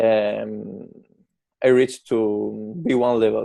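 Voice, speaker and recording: The man speaks at a very slow pace. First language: Italian. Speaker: barbershop owner, English learner. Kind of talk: interview. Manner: halting, many fillers.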